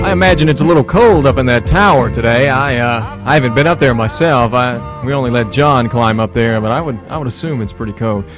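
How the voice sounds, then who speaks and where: A man talks at a fairly quick pace with lively intonation and hardly any pauses. Clear music plays behind the dry sound, which has no echo. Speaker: radio talk show host. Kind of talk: radio talk show hosting. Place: studio. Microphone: old recording.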